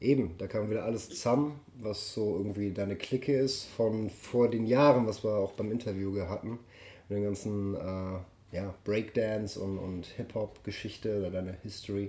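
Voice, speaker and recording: At a moderate pace, a man speaks with a dark, mellow tone, fairly low pitch and fairly even intonation. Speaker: podcast host. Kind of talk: casual interview. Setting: live recording with mobile recorder. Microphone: mobile recorder, poor quality.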